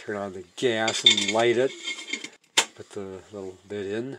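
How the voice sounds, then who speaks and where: In a quiet background, a man speaks at a fairly slow pace with ordinary pitch variation. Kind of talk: tutorial. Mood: relaxed, self-deprecating. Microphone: phone near.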